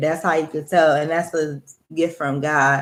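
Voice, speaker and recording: The speaker is a woman. Her voice sits very deep and low. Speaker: spiritual vlogger. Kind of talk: casual monologue vlog. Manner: loud.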